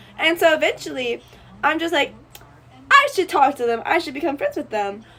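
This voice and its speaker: Over noticeable background noise, a woman's high-pitched voice rises and falls in very wide swings. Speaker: college student vlogger. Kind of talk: casual vlog storytelling. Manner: loud; animated.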